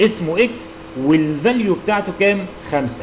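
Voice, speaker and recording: Lively intonation in an Egyptian accent against noticeable background noise. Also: man. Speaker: university lecturer. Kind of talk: tutorial.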